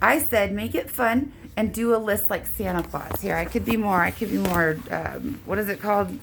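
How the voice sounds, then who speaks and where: A woman with an American accent talks at a moderate pace. Noticeable background noise runs underneath. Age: 30s. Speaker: vlogger. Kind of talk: casual monologue. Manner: halting; slurred at times.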